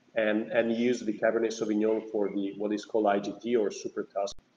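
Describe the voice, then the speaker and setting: A man with an Italian accent speaks at a moderate pace in a medium pitch, his intonation monotone and flat, with audible room echo. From Veneto, Italy. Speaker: winery owner. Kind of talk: wine tasting discussion. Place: home room. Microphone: video call.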